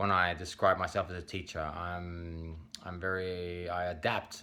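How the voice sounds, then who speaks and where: With a bright, sharp tone, a man speaks in a very deep, low pitch and a monotone, flat intonation. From Spain. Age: 30s. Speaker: English teacher. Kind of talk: self-introduction video. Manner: hesitant, many fillers.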